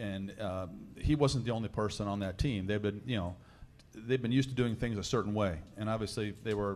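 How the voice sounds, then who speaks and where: This man, with an American accent, speaks at a very fast pace. His pitch is fairly low and his intonation fairly even. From central Illinois (Danville). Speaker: college golf coach. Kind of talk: casual chat. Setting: live broadcast from a lounge with audience.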